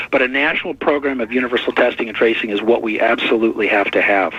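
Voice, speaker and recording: There is noticeable background noise as someone with an American accent talks at a fairly quick pace. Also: man. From US Midwest, Detroit. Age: 60s. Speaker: artist and activist. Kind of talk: radio interview. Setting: radio interview.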